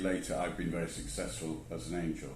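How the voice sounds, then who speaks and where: Speaking with a British accent, a man moves at a fairly quick pace. Audible room echo surrounds his voice. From England. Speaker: angel investor. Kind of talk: interview.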